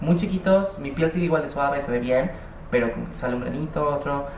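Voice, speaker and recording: A woman with a very deep, low pitch and ordinary pitch variation is heard with audible room echo and light background noise. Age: 20s. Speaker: vlogger. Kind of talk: casual vlog monologue. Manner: rambling, hesitant. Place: home room. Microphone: webcam.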